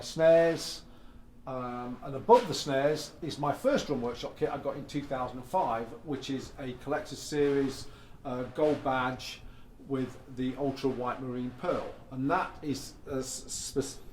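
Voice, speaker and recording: A man's fairly high pitch with fairly even intonation and big swings in loudness, at a fairly slow pace, with audible room echo. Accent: English. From England. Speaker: drum collector and artist manager. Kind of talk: casual guided tour. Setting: home drum room. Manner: casual with many fillers.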